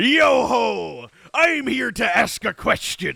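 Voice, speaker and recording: Putting on a character voice, a man speaks very slowly at an extremely high pitch. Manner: playful.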